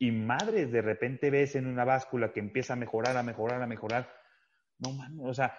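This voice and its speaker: With a Mexican accent, a man speaks at a moderate pace with fairly even intonation against a quiet background. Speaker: fitness podcast host. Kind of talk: casual chat.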